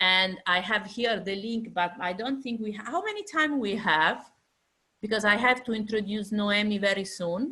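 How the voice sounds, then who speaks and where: A woman speaks in an Italian accent, her pitch fairly high with ordinary variation. Her tone is bright and sharp, and the recording is very clean with a silent background. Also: moderate pace. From Italy. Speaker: fashion industry lecturer. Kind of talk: lecture. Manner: halting.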